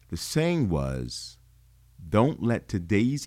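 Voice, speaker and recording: Very wide pitch swings mark this man's very slow speech, and his tone is dark and mellow. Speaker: podcast host, cigar enthusiast. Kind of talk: casual solo talk show.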